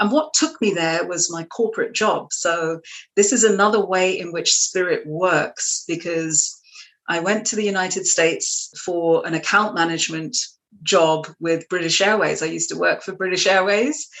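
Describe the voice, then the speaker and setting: A woman speaks at a moderate pace with an American accent, her medium-pitched voice rising and falling in an ordinary way. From West London, England. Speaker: trance medium and healer. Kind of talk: interview. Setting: studio.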